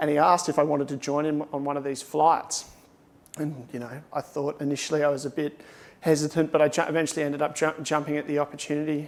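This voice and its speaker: Speaking very fast in a fairly high voice, this man has an Australian accent and a flat, monotone delivery. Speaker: airline pilot. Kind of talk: conference talk.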